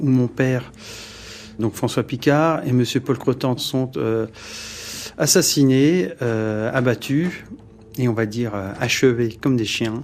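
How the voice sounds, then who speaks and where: Pausing long and often, a man speaks at a very slow pace with ordinary pitch variation. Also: medium pitch for a man. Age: 40s. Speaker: victim's son. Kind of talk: testimony. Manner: halting, many hesitations.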